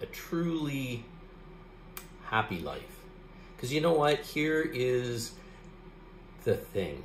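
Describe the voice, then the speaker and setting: A man speaks very slowly in a relaxed tone. Music plays in the background, and audible room echo is present. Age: 50s. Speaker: art YouTuber. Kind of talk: casual talk to camera. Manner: relaxed, hesitant with fillers. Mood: calm, reflective, upbeat. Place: home room. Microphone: phone near.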